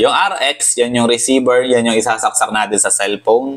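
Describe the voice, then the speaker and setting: Noticeable noise fills the background. The voice belongs to a man. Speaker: motorcycle vlogger. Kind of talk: unboxing vlog. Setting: apartment.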